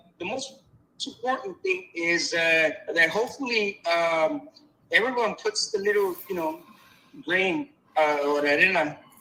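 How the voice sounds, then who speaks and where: Raised and projected, a man's high voice has a bright, sharp tone and very wide pitch swings as he speaks fairly slowly with long, frequent pauses. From Mexico. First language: Spanish. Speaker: banking executive and advisor. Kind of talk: phone-in discussion. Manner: halting, many fillers and repetitions.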